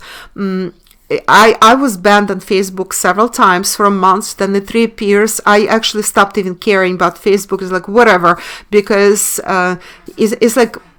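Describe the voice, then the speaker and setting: A woman with a Russian accent speaks at a moderate pace in a medium pitch. Her tone is bright and sharp, her intonation monotone and flat. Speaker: online commentator and webinar teacher. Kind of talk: video monologue. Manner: halting, many fillers.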